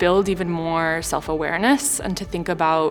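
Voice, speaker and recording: A woman speaks at a fairly low pitch with an American accent. Music plays in the background. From St. Louis, Missouri, US. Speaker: executive MBA student. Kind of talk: interview answer. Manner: casual, conversational.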